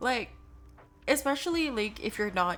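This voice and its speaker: This is a woman speaking with an American accent. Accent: American, noted by chat. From born in US, Filipino family, studying in Philippines. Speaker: medical student streamer. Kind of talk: casual chat.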